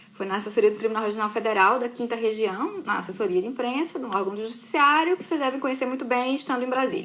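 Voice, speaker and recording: With a strong northeastern Brazilian accent, a woman talks very fast in a high voice. Her intonation is lively, against noticeable background noise. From Brazil, Recife (Pernambuco). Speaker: journalist. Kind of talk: casual live chat with students. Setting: live stream from computer.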